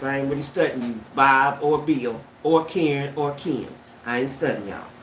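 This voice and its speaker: A woman speaks at a very deep, low pitch. Audible room echo surrounds her voice. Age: 70s. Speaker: YouTube livestreamer. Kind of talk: casual livestream chat. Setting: livestream. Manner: animated.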